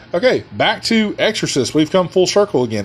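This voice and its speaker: A man speaks loudly with music in the background. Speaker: podcast host and musician. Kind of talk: casual monologue. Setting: studio with headphones.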